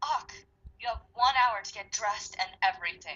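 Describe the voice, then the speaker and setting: A woman in a put-on character voice speaks at a moderate pace, her fairly high pitch carrying lively intonation and big swings in loudness. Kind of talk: comic overacting. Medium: read story. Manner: wrathful, commanding.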